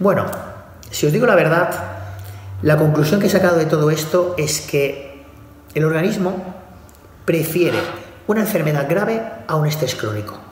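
With audible room echo and noticeable background noise, a man speaks at a moderate pace in a fairly high pitch, using ordinary pitch variation and long, frequent pauses. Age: 40s. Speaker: bodybuilding coach. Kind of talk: motivational monologue.

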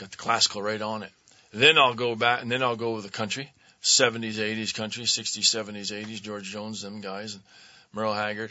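A man with an American accent, fairly low pitch, monotone, flat intonation, a moderate pace and big swings in loudness. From Vermont, raised there from age seven after early years in Philadelphia. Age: 60s. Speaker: actor and comedian. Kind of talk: casual chat. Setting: studio.

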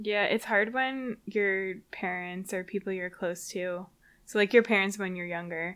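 A woman's ordinary speaking voice, an ordinary speaking voice at a medium pitch, fairly slow in pace with fairly even intonation, on a very clean recording with a silent background. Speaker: epidemiologist. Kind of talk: casual chat.

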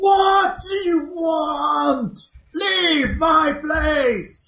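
Shouting in a high-pitched, put-on character voice comes through with a slight echo. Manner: angry, demanding.

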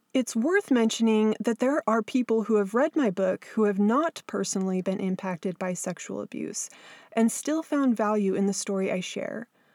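A woman talks with a West Coast US accent at a fairly high pitch. Her pitch varies in an ordinary way, and the sound is dry and close, with no echo. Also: moderate pace. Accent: General American, West Coast. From Southern California. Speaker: podcast host and abuse survivor author. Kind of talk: scripted narration.

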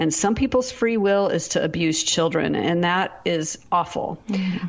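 With an American accent, a woman speaks at a medium pitch with ordinary pitch variation against noticeable background noise. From US Pacific Northwest. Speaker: author and speaker. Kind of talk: testimony.

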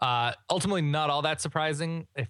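Over a silent background in a very clean recording, a man speaks in a bright, sharp tone with ordinary pitch variation. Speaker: college football podcast host. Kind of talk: casual banter and game recap chat. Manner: joking, bantering, witty.

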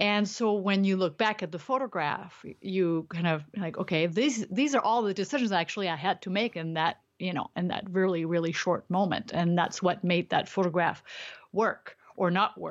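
A woman with a non-native accent speaks at a moderate pace with hardly any pauses, her medium pitch showing ordinary variation. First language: not English. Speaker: street photographer and teacher. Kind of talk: casual interview. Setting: remote call. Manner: frequent laughter.

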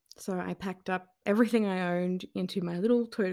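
A woman with an Australian accent talks at a moderate pace. The recording is very clean, with a silent background. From Australia, New South Wales south coast. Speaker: journalist and author. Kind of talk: interview.

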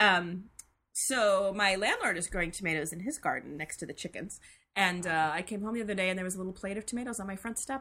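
A woman's very fast, medium-pitched delivery with a bright, sharp tone and ordinary pitch variation. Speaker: podcast co-host. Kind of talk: casual chat. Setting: remote recording.

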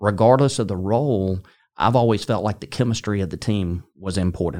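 A man's fairly low, plain, everyday voice at a fairly quick pace, in a very clean recording with a silent background. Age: 60s. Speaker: sales executive. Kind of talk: interview. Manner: conversational, with frequent fillers.

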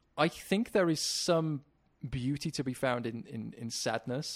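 Ordinary pitch variation and a moderate pace in an unremarkable speaking voice. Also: man. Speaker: podcast co-founder. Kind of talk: casual interview chat. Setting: call.

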